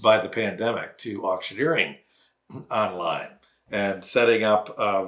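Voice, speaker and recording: A man with a plain, everyday voice speaks at a fairly low pitch. His pace is fairly slow and his intonation fairly even. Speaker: auctioneer, winery founder. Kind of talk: interview answer. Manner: conversational, fluent.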